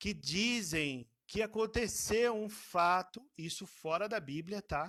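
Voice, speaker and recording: A man's voice with a dry, close sound and no echo. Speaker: Bible school teacher. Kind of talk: online Bible class lecture. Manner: casual, hesitant.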